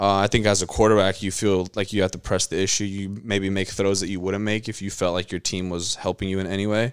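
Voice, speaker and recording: The voice races along at a very fast pace in an American accent with monotone, flat intonation. The recording is very clean with a silent background. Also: man, fairly low pitch for a man. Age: 20s. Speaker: sports podcast co-host. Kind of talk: casual chat.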